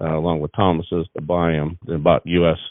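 A man speaks with an American accent. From Washington State, US Pacific Northwest. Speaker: cattle breeder. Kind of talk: casual chat.

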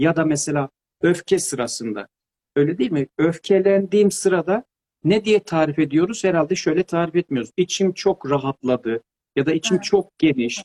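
In a dry, close recording with no echo, a man talks at a moderate pace in a high voice with a dark, mellow tone and lively intonation. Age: 50s. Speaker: pedagogue and author. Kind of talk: interview. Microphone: too quiet at first.

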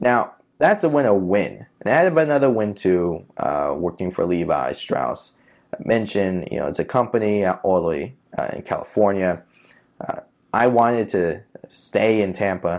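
A man speaks with a New York accent at a fairly low pitch. His intonation is lively and his pace moderate. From New York City (Queens). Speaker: podcast host, data scientist. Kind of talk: solo educational talk. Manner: hesitant, many filler uhs.

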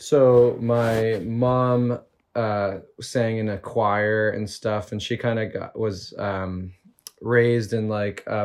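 A man with a Canadian accent speaks at a fairly low pitch in a flat monotone. The background is quiet. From Canada, Toronto suburbs. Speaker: lead singer of a band. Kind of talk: casual chat.

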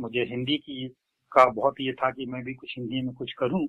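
Monotone, flat intonation from a man at a medium pitch. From Uttar Pradesh, India. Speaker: lyricist and poet. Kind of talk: interview.

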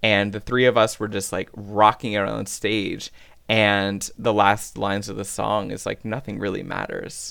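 In a very clean recording with a silent background, a man with a Canadian accent speaks at a moderate pace, his fairly low voice bright and sharp in tone with vocal fry. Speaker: podcast host and drag artist. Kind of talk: casual interview chat. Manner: animated.

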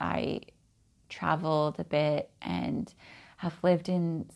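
A woman with a West Coast accent speaks at a very slow pace. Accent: American West Coast. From Oregon, US Pacific Northwest. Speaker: podcast host, spiritual practitioner. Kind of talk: personal monologue.

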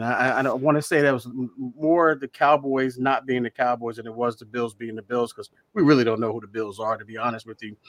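An ordinary speaking voice from a man, medium in pitch, fairly quick and fairly even in intonation, with a dry, close sound and no echo. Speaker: sports show co-host. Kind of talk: casual sports talk show banter.

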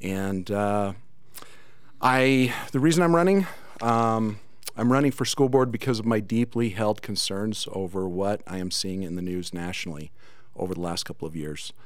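The speaker talks at a moderate pace with lively intonation, and audible room echo is present. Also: man, fairly low pitch for a man. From Cedar City, Utah. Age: 50s. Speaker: school board candidate. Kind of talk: political debate. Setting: studio.

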